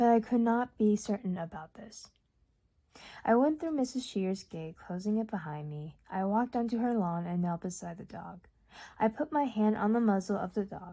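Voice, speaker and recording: Recorded very cleanly against a silent background, a woman speaks at a moderate pace in a fairly high pitch, her somewhat breathy voice carrying a dark, mellow tone and lively intonation. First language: Urdu. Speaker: audiobook reader. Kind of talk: reading aloud. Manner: occasional stumbles and repeats.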